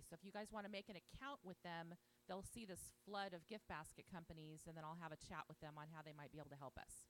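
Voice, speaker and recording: A woman at a very fast pace, animated in tone, with ordinary pitch variation. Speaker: conference organizer. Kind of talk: event introduction. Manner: loud.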